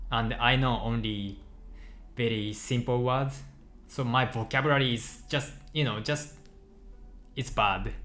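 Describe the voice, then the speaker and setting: Long, frequent pauses mark a man's speech in a Japanese accent, with fairly even intonation. His tone is bright and sharp, and audible room echo surrounds it. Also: medium pitch for a man, fairly slow pace. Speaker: software developer streaming live coding. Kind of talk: casual chat with live stream viewers. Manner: halting, with frequent self-corrections.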